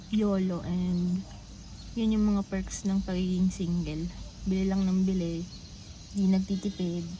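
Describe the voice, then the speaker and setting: A woman speaks in a dark, mellow tone at a medium pitch, with monotone, flat intonation. She talks at a fairly slow pace with long, frequent pauses. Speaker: vlogger, overseas worker. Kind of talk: casual vlog talk. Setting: cafe. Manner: loud.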